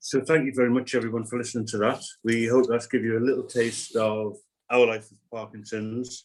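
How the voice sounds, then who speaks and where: This man talks at a fairly quick pace with a medium pitch and monotone, flat intonation. His loudness swings widely from moment to moment. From northern England, Gateshead. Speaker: person living with Parkinson's, speaker. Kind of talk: webinar talk.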